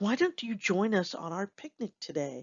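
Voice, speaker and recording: In a put-on character voice, a female-sounding speaker talks at a moderate pace with a medium pitch. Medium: read story.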